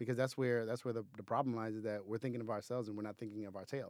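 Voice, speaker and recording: A man talks at a very fast pace. His intonation is flat and monotone. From Haiti, countryside. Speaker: film director. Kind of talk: interview.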